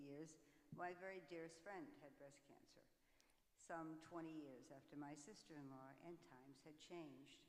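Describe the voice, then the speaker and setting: The speech moves at a moderate pace with fairly even intonation. Audible room echo surrounds it. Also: woman. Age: 80s+. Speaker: breast cancer awareness speaker, panelist. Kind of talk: testimony.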